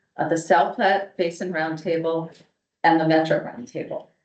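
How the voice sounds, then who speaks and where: Music plays behind a woman who speaks at a fairly low pitch and a moderate pace. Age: 60s. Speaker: water policy speaker. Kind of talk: presentation to an audience.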